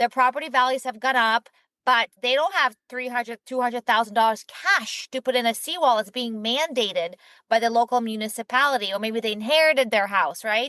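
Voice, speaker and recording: A woman's high voice with a non-native accent, fairly quick pace, ordinary pitch variation, a bright, sharp tone and dry, close sound with no echo. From Ukraine, then Israel. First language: not English. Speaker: startup founder and CEO. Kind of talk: podcast interview. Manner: casual, uses filler like.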